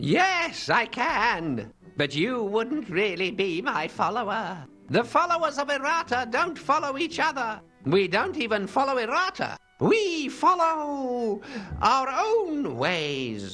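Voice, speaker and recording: A put-on character voice with a fairly high pitch moves at a fairly slow pace. Its pitch swings very widely, with faint music in the background. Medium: video game. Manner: dry, wry.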